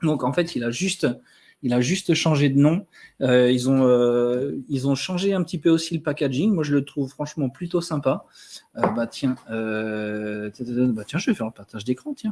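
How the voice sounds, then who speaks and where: Intonation here is lively. The pace is fairly slow. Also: man, fairly high pitch for a man. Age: 30s. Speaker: wellness advisor. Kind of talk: live stream product presentation. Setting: live stream. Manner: hesitant, many fillers.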